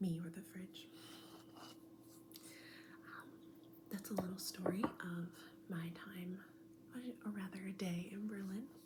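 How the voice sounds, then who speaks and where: A woman's soft-spoken whispering, fairly slow with long, frequent pauses and big swings in loudness, over noticeable background noise. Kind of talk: ASMR soft spoken talk to camera with travel stories. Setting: home recording with fridge motor noise in background.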